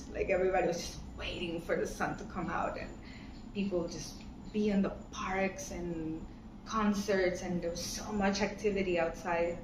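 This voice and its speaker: A woman's monotone, flat voice in a Latin American accent, with audible room echo and noticeable background noise. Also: medium pitch for a woman, moderate pace. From Ecuador, Pacific coast (Guayaquil). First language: Spanish. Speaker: interviewee. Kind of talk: casual interview chat.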